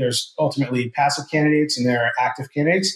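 This man's somewhat breathy voice sits fairly high in pitch and keeps a fairly even intonation. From New Jersey. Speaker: executive recruiter, CEO. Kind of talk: interview.

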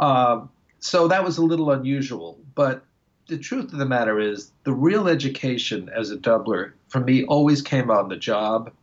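In an American accent and an unremarkable speaking voice, a man talks at a moderate pace with medium pitch and lively intonation. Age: 60s. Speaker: woodwind musician and retired music professor. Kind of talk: interview.

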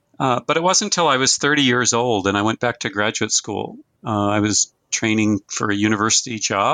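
Recorded dry and close with no echo over a quiet background, a man speaks at a medium pitch in a bright, sharp tone, with ordinary pitch variation and very even loudness. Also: moderate pace. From North Dakota (Fargo). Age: 60s. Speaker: retired journalism professor. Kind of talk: interview.

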